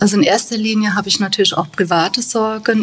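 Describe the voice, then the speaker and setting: Over noticeable background noise, a woman speaks at a fairly quick pace and a medium pitch. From Germany, Bad Kreuznach (Rhineland-Palatinate). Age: 50s. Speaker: bookkeeper at a care home. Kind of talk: interview.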